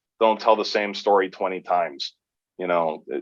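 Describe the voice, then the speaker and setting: With an American accent, a man speaks in a fairly low pitch at a moderate pace. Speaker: sports play-by-play announcer. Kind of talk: podcast interview.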